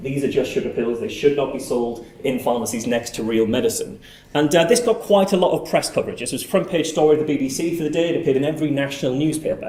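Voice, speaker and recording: Over noticeable background noise and audible room echo, a man with a fairly high pitch and lively intonation speaks at a very fast pace with hardly any pauses. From northern England. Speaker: skeptical activist, conference speaker. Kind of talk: conference talk. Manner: hesitant, many filler words.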